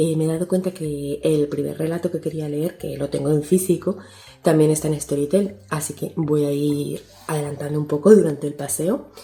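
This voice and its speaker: Soft-spoken and with a very deep, low pitch, a woman talks in fairly even intonation against noticeable background noise. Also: moderate pace. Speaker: booktuber. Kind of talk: vlog.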